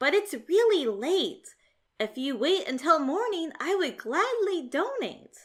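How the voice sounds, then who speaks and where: On a very clean recording with a silent background, a woman does a put-on character voice at an extremely high pitch, with very wide pitch swings and a fairly slow pace. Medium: read story. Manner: cheerful, unflappable.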